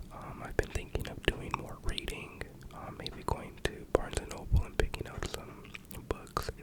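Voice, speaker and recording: The whisper moves at a moderate pace while background noise is clearly noticeable. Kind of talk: casual talk to camera, intro. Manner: whispered.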